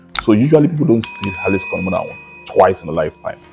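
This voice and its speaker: A man talking at a very fast pace, with ordinary pitch variation and music in the background. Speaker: interviewer. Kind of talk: interview introduction to camera.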